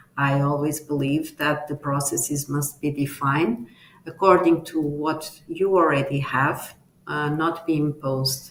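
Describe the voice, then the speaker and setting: Noticeable background noise runs under the speech. The delivery is fairly slow, with monotone, flat intonation. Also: woman, very deep, low pitch for a woman. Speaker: tech company leader, conference speaker. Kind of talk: conference talk. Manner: halting, many fillers.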